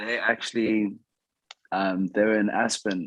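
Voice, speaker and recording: A man with a South African accent talks fairly slowly at a fairly low pitch, his intonation monotone and flat. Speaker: reality TV yacht crew member. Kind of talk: casual interview chat.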